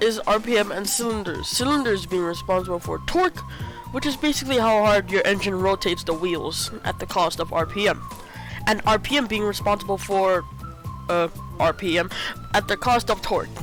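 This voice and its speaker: Music runs underneath as the talking goes at a fairly quick pace. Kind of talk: game tutorial narration. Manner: sarcastic, comedic.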